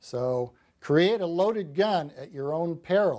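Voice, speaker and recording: Over a quiet background, a man speaks in a high pitch with a dark, mellow tone. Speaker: political economist and author. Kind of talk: televised call-in interview. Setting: studio. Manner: frequent hesitations. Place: studio.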